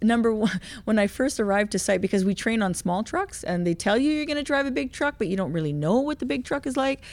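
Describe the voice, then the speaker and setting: In a very clean recording with a silent background, a woman talks at a very fast pace with hardly any pauses, fairly high pitch and very wide pitch swings. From Quebec, Canada. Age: 50s. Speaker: heavy equipment operator and motivational speaker. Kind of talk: interview, personal testimony.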